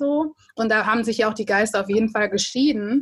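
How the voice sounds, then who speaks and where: A woman speaks in a normal speaking voice. Her pitch is fairly high and her intonation fairly even. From Germany. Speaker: podcast co-host. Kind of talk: casual interview.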